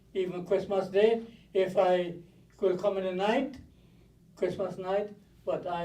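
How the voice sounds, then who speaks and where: A man's dark, mellow tone at a high pitch, moderate pace and audible room echo. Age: 80s+. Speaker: mourner speaking at a funeral. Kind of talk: eulogy. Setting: funeral home viewing with audience. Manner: halting.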